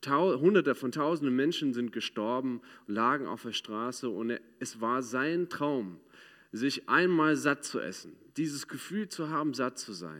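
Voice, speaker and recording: Speaking with an English accent, a man of medium pitch talks fairly slowly with lively intonation on a very clean recording with a silent background. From United States. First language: English (speaking German). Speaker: ministry speaker. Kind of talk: sermon. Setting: church.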